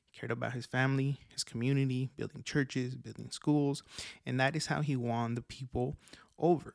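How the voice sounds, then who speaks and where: Delivered in a monotone with flat intonation, this voice has big swings in loudness and a fairly quick pace, recorded very cleanly against a silent background with a dry, close sound and no echo. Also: man, medium pitch for a man. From Mexico, Oaxaca. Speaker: solar industry podcast host. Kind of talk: solo podcast monologue. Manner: laughs often.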